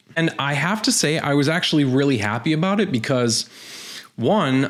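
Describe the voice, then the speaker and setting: A man's intonation is lively as he speaks at a moderate pace through noticeable background noise. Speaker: tech youtuber. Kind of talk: explainer video.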